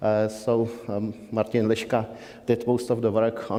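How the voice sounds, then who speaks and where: With a dark, mellow tone, a man talks at a medium pitch. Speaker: compiler developer presenting a session. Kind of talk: conference discussion session. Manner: halting, many fillers; loud.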